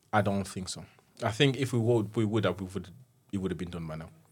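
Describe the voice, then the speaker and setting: A man speaks in a fairly low pitch with ordinary pitch variation. His voice is somewhat breathy. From Congo, moved to Teesside at ten. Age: 30s. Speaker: marketing tutor and charity trustee. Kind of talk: interview. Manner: halting.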